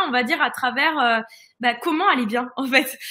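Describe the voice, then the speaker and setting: At a moderate pace, a woman uses a raised, projected, high-pitched voice with ordinary pitch variation. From northern France. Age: 20s. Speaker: holistic fitness coach. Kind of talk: live-stream interview.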